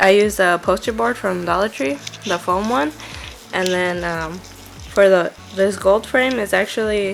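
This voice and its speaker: Background music accompanies fairly slow speech with ordinary pitch variation and long, frequent pauses. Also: woman, medium pitch for a woman. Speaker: crafter. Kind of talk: casual talk to camera. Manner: chatty; hesitant, filler-heavy.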